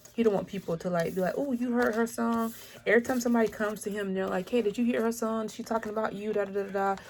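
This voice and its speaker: A woman talks at a very fast pace. Her pitch is medium and her intonation fairly even. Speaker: tarot reader. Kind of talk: tarot reading.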